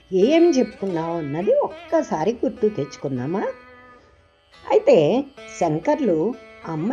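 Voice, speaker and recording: Over music in the background, a woman speaks with very wide pitch swings. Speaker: devotional explainer. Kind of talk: devotional explanation of a hymn. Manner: conversational, addressing the audience.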